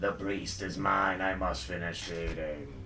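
Over loud background noise, a man uses a put-on character voice with a very deep, low pitch, speaking at a fairly slow pace. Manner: odd, unsettling.

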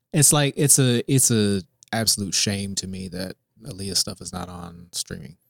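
A normal speaking voice from a man, fairly low in pitch, with lively intonation and big swings in loudness, in a dry, close sound with no echo on a very clean recording with a silent background. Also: moderate pace. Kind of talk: casual chat. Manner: joking.

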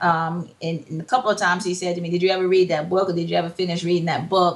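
The speaker is a woman with a medium-pitched voice. She talks in an American accent. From Hampton, Virginia. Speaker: entrepreneur, psychology counselor. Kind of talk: casual interview chat.

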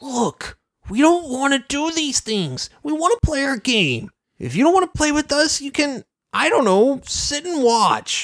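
A put-on character voice with a high pitch speaks at a moderate pace. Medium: talk show. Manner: smug, then grudgingly sorry.

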